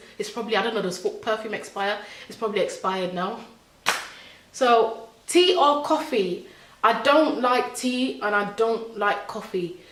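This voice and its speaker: The woman's tone is animated, with ordinary pitch variation. She speaks at a moderate pace amid audible room echo. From born in Nigeria, grew up in England from about age 7. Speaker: vlogger. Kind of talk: casual chat. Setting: at home. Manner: halting.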